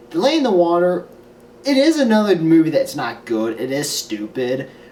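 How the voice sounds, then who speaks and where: A man talks with fairly high pitch and very wide pitch swings. Noticeable background noise runs underneath. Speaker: film reviewer. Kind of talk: casual vlog review.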